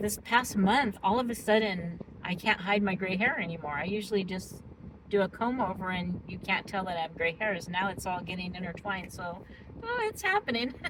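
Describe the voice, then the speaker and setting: Over noticeable background noise, a woman with a medium pitch talks at a fairly quick pace with ordinary pitch variation. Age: 60s. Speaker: weight loss vlogger. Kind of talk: casual vlog monologue. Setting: parked car in parking structure. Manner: chatty, with many fillers.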